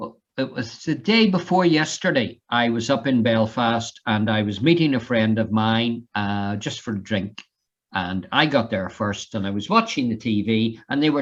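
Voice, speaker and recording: With an Irish accent, a man speaks with ordinary pitch variation and hardly any pauses. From Ireland. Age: 60s. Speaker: fire safety trainer. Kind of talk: online lecture.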